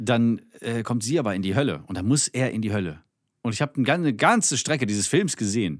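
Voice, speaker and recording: On a very clean recording with a silent background, a man with an unremarkable speaking voice talks at a fairly quick pace, medium in pitch and lively in intonation. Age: 30s. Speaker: podcast co-host, comedian. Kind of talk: casual chat.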